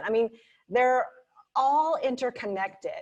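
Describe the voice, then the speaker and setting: With an American accent, a woman talks at a moderate pace. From Arkansas. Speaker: political candidate and attorney. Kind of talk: campaign speech.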